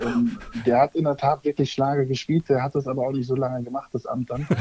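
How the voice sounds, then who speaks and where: Over noticeable background noise, a man talks at a fairly high pitch with fairly even intonation, the sound dry and close with no echo. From northern Germany, near Kiel. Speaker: digital advertising expert and former youth footballer. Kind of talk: casual chat.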